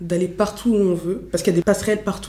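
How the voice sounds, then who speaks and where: This woman's voice sits at a medium pitch, her intonation monotone and flat. Background noise is noticeable throughout. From Paris eastern suburbs (Montreuil, 93). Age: 20s. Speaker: student, association public relations director. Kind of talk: casual interview.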